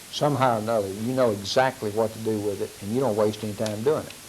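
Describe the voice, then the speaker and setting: Noticeable background noise and audible room echo surround a man's fairly low voice. He speaks at a fairly quick pace with ordinary pitch variation. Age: 70s. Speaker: law enforcement trainer. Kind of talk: lecture. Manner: halting, with fillers.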